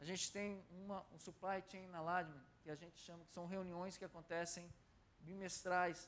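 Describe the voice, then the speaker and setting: Heard with audible room echo, the man speaks at a high pitch. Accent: São Paulo. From Brazil, São Paulo. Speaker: corporate supply director, speaker. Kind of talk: lecture.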